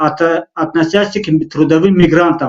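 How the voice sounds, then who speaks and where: With ordinary variation in his intonation, a man talks in a high-pitched voice. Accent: non-native. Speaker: talk show host. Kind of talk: live talk show interview. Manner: halting, many fillers.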